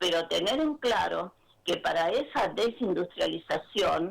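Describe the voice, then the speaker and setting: A woman with a Rioplatense accent, vocal fry and lively intonation, at a fairly slow pace. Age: 60s. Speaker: community theatre director and actress. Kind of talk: radio interview. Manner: halting.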